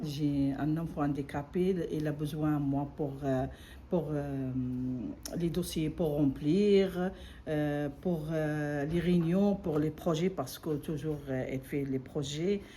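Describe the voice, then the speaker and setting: A woman speaks at a very slow pace in a non-native accent, her pitch very deep and low. Her tone is dark and mellow, and her intonation stays fairly even. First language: not French (speaking French). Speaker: adult French learner, parent. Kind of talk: testimony. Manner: halting.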